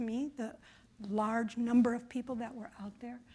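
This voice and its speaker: A woman speaks with an American accent. Her high-pitched voice is monotone, with flat intonation. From Chicago. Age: 60s. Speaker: author and public radio producer. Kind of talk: conference presentation. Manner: conversational with fillers.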